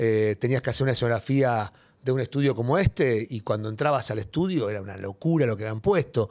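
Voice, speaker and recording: A man speaks at a very fast pace, his pitch varying in an ordinary way, with a quiet background. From Buenos Aires, Villa Devoto; Buenos Aires. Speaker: TV comedian and host; TV comedian, host. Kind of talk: casual interview. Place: studio. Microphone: studio mic.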